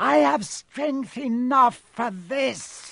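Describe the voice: A man uses a put-on character voice pitched extremely high, with vocal fry and hissing. He talks at a very slow pace with lively intonation. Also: fairly bright tone.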